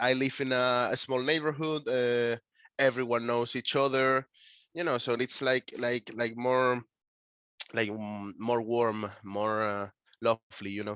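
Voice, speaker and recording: A man with a Spanish accent at a medium pitch, fairly even intonation and a fairly slow pace. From Canary Islands, Tenerife (Puerto de la Cruz). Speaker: concept photographer, artist. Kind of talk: interview. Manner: halting, many fillers.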